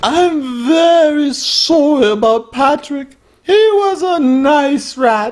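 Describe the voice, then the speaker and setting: A put-on character voice, high-pitched and very slow. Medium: comedy sketch. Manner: genteel, aggrieved.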